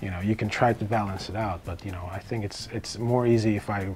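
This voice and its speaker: Over music in the background, a man talks fairly quickly in a fairly low pitch with monotone, flat intonation. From Turkey, Istanbul. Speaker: fight choreographer and filmmaker. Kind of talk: interview. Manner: hesitant with fillers.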